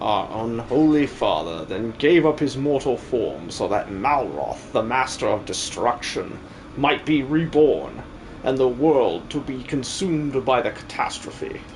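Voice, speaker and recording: A man puts on a character voice at a medium pitch and a fairly slow pace. Background noise is clear behind him. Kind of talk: live-stream game dub. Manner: grandiose, theatrical.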